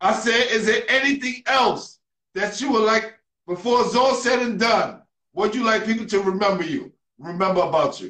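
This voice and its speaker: At a moderate pace, a man with a New York accent speaks at a high pitch with ordinary pitch variation. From New York City. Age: young. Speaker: podcast host. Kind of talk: interview. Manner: animated.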